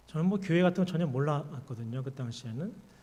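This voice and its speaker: This man's intonation is lively. Room echo can be heard around him. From South Korea, Daegu then Suwon. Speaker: pastor and seminary professor. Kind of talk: sermon with personal testimony.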